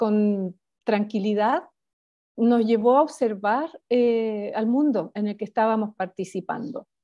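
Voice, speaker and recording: A woman talks at a very slow pace, her fairly high voice dark and mellow in tone. The sound is dry with no echo, over a quiet background. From Chile. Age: 50s. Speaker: spiritual author; interview guest. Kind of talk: interview conversation. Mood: calm, reflective. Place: home room. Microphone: video call.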